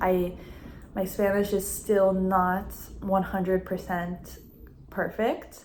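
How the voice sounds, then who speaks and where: A woman with an American accent speaks at a very slow pace, her medium pitch held in a monotone, flat intonation. Long, frequent pauses break up her words, and audible room echo surrounds her voice. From United States. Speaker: language assistant. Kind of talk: interview.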